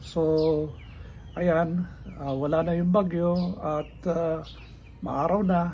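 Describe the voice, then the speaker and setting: A man speaks at a high pitch with monotone, flat intonation and a very slow pace. Long, frequent pauses break up his speech, and room echo is audible. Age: 70s. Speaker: senior health vlogger. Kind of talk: casual vlog talk. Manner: hesitant, many fillers.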